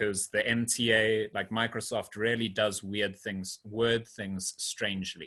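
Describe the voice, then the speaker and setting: The man's voice is fairly low in pitch, with a bright, sharp tone and monotone, flat intonation at a fairly slow pace. There are hardly any pauses, and the recording is very clean with a silent background. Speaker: programming lecturer. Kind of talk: lecture. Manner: halting.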